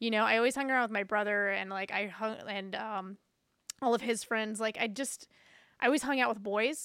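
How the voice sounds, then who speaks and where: On a very clean recording with a silent background, a woman speaks fairly quickly at a fairly high pitch, her tone bright and sharp and her intonation fairly even. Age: 40s. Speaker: drummer, audio engineer, podcaster. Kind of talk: casual interview conversation.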